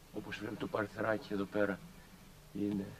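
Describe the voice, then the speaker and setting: A man with a fairly low pitch amid noticeable background noise. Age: 60s. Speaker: pilgrim video narrator. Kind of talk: casual narration.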